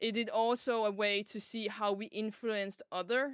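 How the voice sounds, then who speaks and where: A woman of medium pitch with a Danish accent. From Denmark. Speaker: vtuber streamer. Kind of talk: casual chat.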